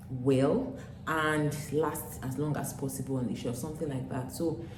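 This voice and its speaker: A woman with a Nigerian accent and a very deep, low pitch, at a moderate pace with ordinary pitch variation, amid audible room echo and noticeable background noise. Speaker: vlogger, former teacher. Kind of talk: casual vlog talk to camera. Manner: hesitant, with fillers.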